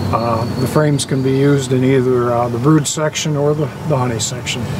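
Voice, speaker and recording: A man with a medium pitch talks fairly quickly in a monotone, flat intonation, with audible room echo and noticeable background noise. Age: 70s. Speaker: beekeeper. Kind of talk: interview.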